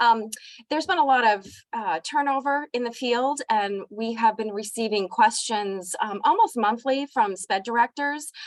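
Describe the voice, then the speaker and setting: Recorded with a dry, close sound and no echo, a woman speaks at a moderate pace in a fairly high pitch with ordinary pitch variation. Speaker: director of a library for visually impaired students. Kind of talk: presentation in an online meeting. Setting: video call. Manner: hesitant, many um fillers.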